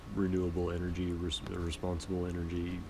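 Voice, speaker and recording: A man speaks in a relaxed tone at a very deep, low pitch. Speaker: sewing and patching hobbyist, podcaster. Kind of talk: casual talk to camera while sewing. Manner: relaxed, casual, conversational.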